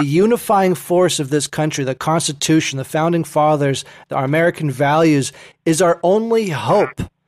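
In a very clean recording with a silent background and a dry, close sound with no echo, a man speaks at a moderate pace in an ordinary speaking voice, with a fairly high pitch and ordinary pitch variation. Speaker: podcast host. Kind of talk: interview.

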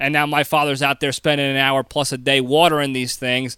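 A man with an American accent speaks at a moderate pace in a bright, sharp tone, his intonation fairly even, on a very clean recording with a silent background and a dry, close sound free of echo. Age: 30s. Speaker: podcast host. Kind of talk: casual monologue. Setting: home recording.

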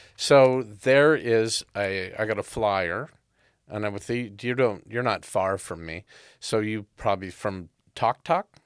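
In a very clean recording with a silent background, a man with a normal speaking voice talks at a fairly slow pace, his fairly low pitch showing ordinary pitch variation. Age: 60s. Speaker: podcast host. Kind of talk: casual chat.

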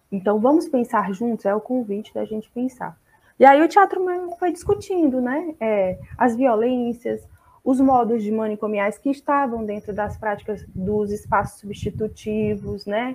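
A woman with an unremarkable speaking voice talks at a fairly high pitch and a fairly slow pace, with ordinary pitch variation. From Brazil, Fortaleza, Ceará. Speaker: psychologist. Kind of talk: online seminar talk.

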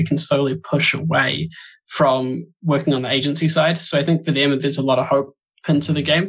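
Talking at a fairly quick pace, a man with a New Zealand accent has a fairly high pitch and fairly even intonation. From New Zealand, Auckland. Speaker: podcast co-host and podcaster. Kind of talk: casual chat.

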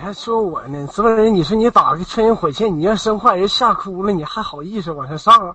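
A man speaks fairly quickly in a high voice for a man. He has hardly any pauses and big swings in loudness. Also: ordinary pitch variation. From Jinhua, Zhejiang. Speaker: caller. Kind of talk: casual banter.

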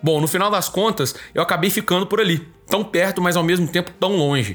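This is a man speaking. His pace is fairly quick. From Minas Gerais, Brazil (Divinópolis). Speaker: podcast host, sports journalist. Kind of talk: casual chat.

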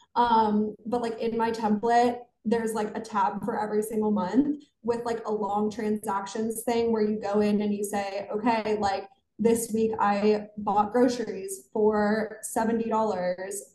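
A woman speaks with an American accent at a fairly high pitch. Her pace is fairly slow and her intonation monotone and flat. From western Pennsylvania, small town near Pittsburgh. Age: 20s. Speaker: financial content creator. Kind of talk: interview.

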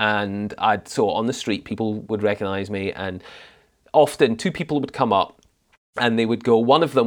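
A man with a Scottish accent speaks at a fairly quick pace. His pitch sits in the medium range. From Scotland (Highlands). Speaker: drama practitioner. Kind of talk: casual chat.

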